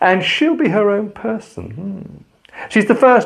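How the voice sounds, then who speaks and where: The speaker has an English accent and a calm tone. The intonation is lively. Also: man. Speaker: pastor. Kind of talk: spoken reflection.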